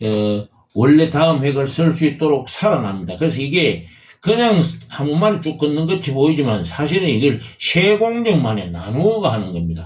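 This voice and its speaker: Somewhat breathy and fairly high in pitch, a man speaks at a moderate pace with very wide pitch swings and audible room echo. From Gyeongsang province, South Korea. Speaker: calligraphy teacher, YouTuber. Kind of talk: tutorial. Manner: hesitant, many fillers.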